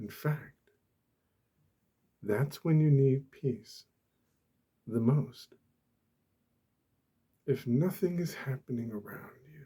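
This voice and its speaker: A soft-spoken, somewhat breathy man with a fairly high pitch, a dark, mellow tone and a calm tone, at a very slow pace with long, frequent pauses, big swings in loudness and ordinary pitch variation. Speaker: ASMR creator. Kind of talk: ASMR soft-spoken talk about peace. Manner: soft-spoken, calm.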